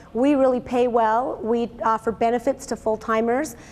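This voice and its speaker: A woman speaks with a high pitch. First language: German. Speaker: business owner and speaker. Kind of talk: motivational talk. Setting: seminar with audience. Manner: casual, animated storytelling.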